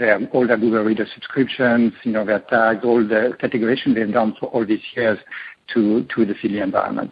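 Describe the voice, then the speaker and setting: In a French accent, a man speaks at a medium pitch with monotone, flat intonation. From France. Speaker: tech company co-founder. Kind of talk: interview. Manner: halting.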